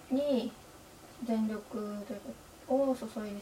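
Through noticeable background noise, a woman speaks at a fairly high pitch in a monotone, flat intonation. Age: 20s. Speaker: university student podcaster. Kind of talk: casual solo monologue. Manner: halting.

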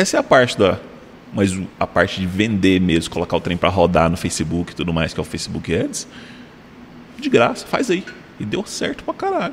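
A man at a moderate pace with long, frequent pauses, against noticeable background noise. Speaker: podcast host. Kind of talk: casual chat.

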